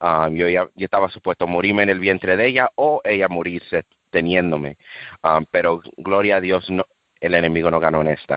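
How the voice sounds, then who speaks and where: Speaking at a fairly quick pace, a man has a very deep, low pitch, ordinary pitch variation, and very even loudness. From USA, Dominican and Cuban family. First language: English (speaking Spanish). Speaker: street preacher. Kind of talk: testimony. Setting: radio interview. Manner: halting, self-correcting.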